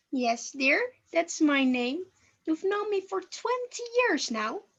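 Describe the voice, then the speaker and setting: Putting on a character voice, a woman speaks at a fairly slow pace in an extremely high pitch with very wide pitch swings. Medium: stage play. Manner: sweet, condescending.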